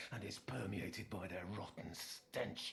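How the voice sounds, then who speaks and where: The speaker whispers in a put-on character voice. Background noise is clearly audible. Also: man. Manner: speaking through clenched teeth.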